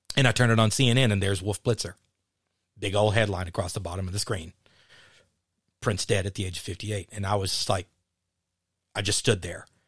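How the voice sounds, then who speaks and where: A somewhat breathy man with an American accent and fairly low pitch talks at a very fast pace with fairly even intonation, leaving long, frequent pauses. The recording is very clean with a silent background and a dry, close sound with no echo. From Texas (Dallas). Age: 50s. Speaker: podcast host. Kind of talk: casual chat.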